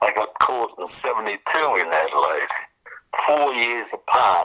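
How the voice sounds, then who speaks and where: A man with an Australian accent, speaking at a very slow pace. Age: 80s+. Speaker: recovering alcoholic sharing story. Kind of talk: testimony. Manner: halting.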